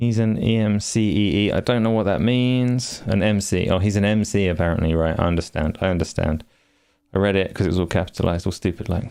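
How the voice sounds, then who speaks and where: Fairly low in pitch with a dark, mellow tone, a man speaks at a fairly quick pace with very even loudness on a very clean recording with a silent background. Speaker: gaming podcast host. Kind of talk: live stream chat. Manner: casual.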